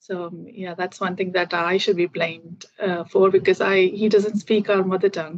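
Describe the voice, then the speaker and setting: Speaking at a moderate pace, a woman with a medium pitch keeps a monotone, flat intonation while her loudness swings a lot. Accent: Keralan. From India, Kerala. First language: Malayalam. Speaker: IT professional, English learner. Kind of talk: casual conversation practice. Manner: halting, many fillers.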